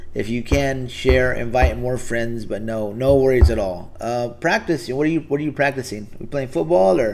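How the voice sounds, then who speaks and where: At a moderate pace and with hardly any pauses, a man with an American accent talks at a medium pitch with ordinary pitch variation. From Texas. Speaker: live streamer. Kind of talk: casual chat. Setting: live stream. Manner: halting, many fillers.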